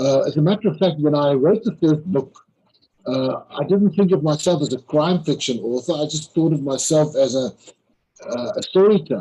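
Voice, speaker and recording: Speaking at a moderate pace, a man with a South African accent uses a fairly high pitch. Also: ordinary pitch variation. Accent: South African (Afrikaans) English. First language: Afrikaans. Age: 60s. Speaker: crime novelist. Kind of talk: interview. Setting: live online interview. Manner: halting, with frequent repetitions.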